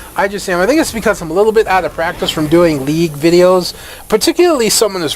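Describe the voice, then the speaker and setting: A man speaks with lively intonation. There is noticeable background noise. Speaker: gaming YouTuber. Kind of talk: gameplay commentary. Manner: stuttering today; casual, filler-heavy.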